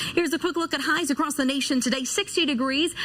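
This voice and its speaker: A woman's upbeat tone over noticeable background noise. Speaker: weather anchor and reporter. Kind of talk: TV weather forecast. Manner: polished, upbeat, broadcast delivery.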